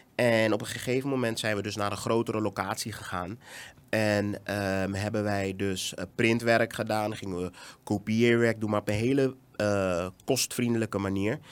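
Over a very clean recording with a silent background, a man speaks at a moderate pace. His pitch is fairly low and his intonation fairly even. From Netherlands. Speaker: education entrepreneur. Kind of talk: casual interview. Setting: studio.

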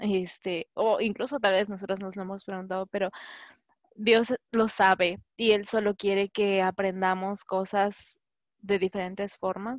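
In a normal speaking voice of medium pitch, a woman talks at a fairly slow pace with fairly even intonation and a dry, close sound with no echo. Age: 20s. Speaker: doctoral student. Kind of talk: testimony.

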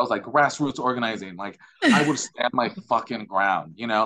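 A man speaks at a medium pitch with an American accent. His tone is bright and sharp, and his pitch varies in an ordinary way. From Chicago, US. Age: 30s. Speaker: poet and artist. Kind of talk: casual chat.

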